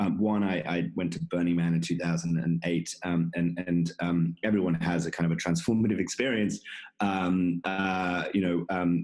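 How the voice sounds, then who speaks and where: At a moderate pace, this man talks with a very deep, low pitch. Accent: American. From England, London. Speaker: conference founder and tech executive. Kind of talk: podcast interview. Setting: video call. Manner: halting, many fillers and repetitions.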